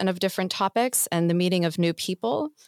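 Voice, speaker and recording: A woman with a plain, everyday voice speaks at a fairly quick pace and a fairly low pitch. The recording is very clean with a silent background and a dry, close sound with no echo. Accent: American. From US. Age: 20s. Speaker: startup mentorship program manager. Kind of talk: interview. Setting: studio.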